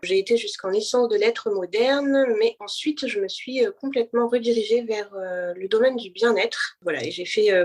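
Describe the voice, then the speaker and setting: A woman talks fairly slowly. Her fairly high voice has ordinary pitch variation. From France, Paris. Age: 30s. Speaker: blind guest, wellness association founder. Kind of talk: interview testimony. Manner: halting, many hesitations.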